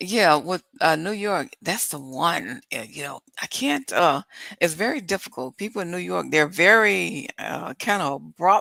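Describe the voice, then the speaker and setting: On a very clean, dry and close recording with a silent background and no echo, a woman speaks at a fairly slow pace in a bright, sharp voice with vocal fry, lively intonation and big swings in loudness. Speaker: podcast guest, podcaster. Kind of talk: casual chat. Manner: high energy.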